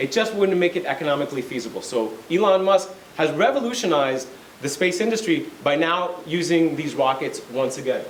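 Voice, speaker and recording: A man talks at a high pitch with lively intonation. Noticeable background noise and audible room echo surround him. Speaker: lawyer and space company executive. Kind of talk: lecture. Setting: college lecture with audience.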